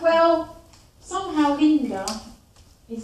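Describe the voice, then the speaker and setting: At a very slow pace, a woman speaks amid audible room echo and light background noise. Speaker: poet and performer. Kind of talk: spoken word poetry performance. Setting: live stage performance. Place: stage. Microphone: camera far.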